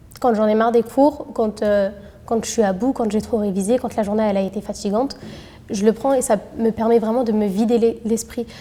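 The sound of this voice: A woman's fairly high, dark and mellow voice with fairly even intonation, a fairly quick pace and few pauses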